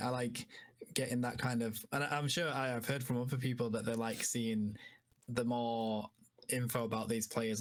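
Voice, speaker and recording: The delivery is monotone, with flat intonation. It moves at a moderate pace. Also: man. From northern England, Yorkshire (Leeds). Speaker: esports caster. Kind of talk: casual chat.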